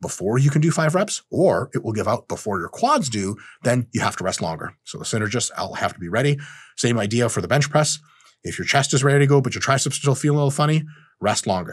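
A man with vocal fry and lively intonation at a very fast pace, against a quiet background. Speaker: fitness educator. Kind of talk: lecture. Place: studio.

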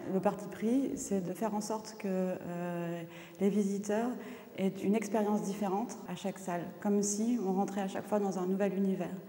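Noticeable background noise runs through the clip. Over it, a woman talks fairly quickly. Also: medium pitch for a woman, fairly even intonation. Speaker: curator. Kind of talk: interview.

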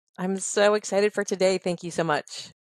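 A woman talks at a moderate pace with music behind her. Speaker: podcast host. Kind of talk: interview chat. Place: home room.

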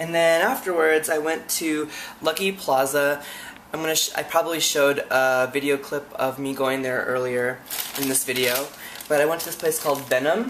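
Noticeable background noise sits behind a man's voice. He talks at a moderate pace with a fairly high pitch and fairly even intonation. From Filipino-American. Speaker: travel vlogger. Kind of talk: vlog narration. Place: home room. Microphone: webcam.

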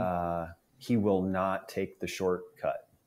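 A man speaks in a very deep, low pitch with a Midwestern American accent. His intonation is monotone and flat. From northeast Nebraska. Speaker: fitness group member. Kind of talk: casual interview.

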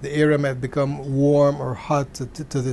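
Through light background noise, a man speaks at a moderate pace, somewhat breathy, with a dark, mellow tone. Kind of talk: interview answer. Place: office. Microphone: lapel.

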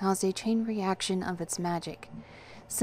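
The speaker is reading aloud in a natural voice.

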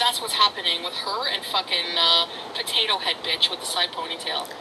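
Noticeable background noise is heard as a woman talks at a moderate pace. Her pitch swings very widely. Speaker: livestreamer. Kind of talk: casual vlog chat, ranting. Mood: angry, ranting. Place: car. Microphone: phone near.

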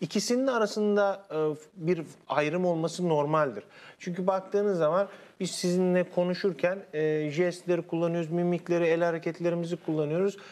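A man speaks at a high pitch and a moderate pace. His loudness stays very even, and his intonation is fairly even. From Konya, Central Anatolia, Turkey; Turkey. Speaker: university linguistics lecturer. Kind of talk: TV interview, explanatory. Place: studio. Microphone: lapel.

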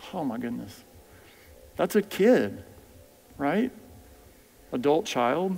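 At a very slow pace with long, frequent pauses, a man with an American accent speaks at a fairly high pitch with vocal fry. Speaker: physician. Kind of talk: lecture. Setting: stage with audience. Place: church.

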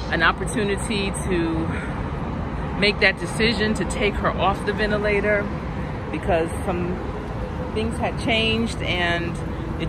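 Loud background noise runs behind a woman's voice. The sound is dry with no echo. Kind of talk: personal storytelling vlog narration. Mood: emotional, reflective, grieving. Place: garden. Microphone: phone near.

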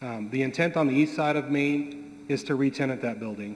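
The speaker is a man at a fairly quick pace. Light background noise sits behind him. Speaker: land development consultant. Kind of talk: public meeting testimony. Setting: public meeting room. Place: hall. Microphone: podium.

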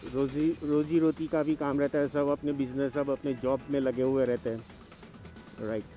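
Faint music plays behind a man whose fairly even voice has a dry sound with no echo. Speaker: solo motorcycle vlogger. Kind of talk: casual vlog chat. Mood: cheerful, relaxed. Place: motorbike. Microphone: helmet.

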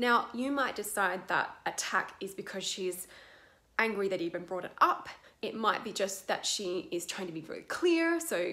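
Moderate pace and lively intonation from a woman. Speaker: acting coach. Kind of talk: tutorial. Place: home room. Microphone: webcam.

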